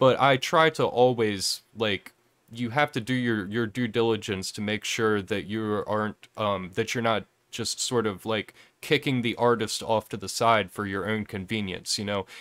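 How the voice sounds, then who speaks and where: Fairly low in pitch, a man speaks at a moderate pace. His intonation is fairly even. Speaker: livestream interview host. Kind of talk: casual live-streamed interview chat. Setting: live online stream. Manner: halting, self-correcting.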